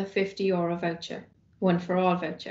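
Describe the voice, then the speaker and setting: In a room with audible echo, a woman with a Cork accent talks at a fairly quick pace. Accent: Irish (Cork). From Ireland. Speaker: university sports officer. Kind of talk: scripted welcome announcement. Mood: upbeat, welcoming. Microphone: webcam.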